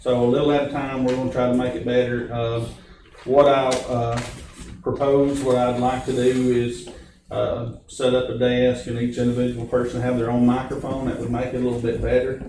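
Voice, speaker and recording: A man speaks at a medium pitch with monotone, flat intonation. Room echo is audible, and background noise is noticeable. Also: moderate pace. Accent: American. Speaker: county official chairing a public meeting. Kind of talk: public meeting. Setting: meeting room with room microphone. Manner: loud.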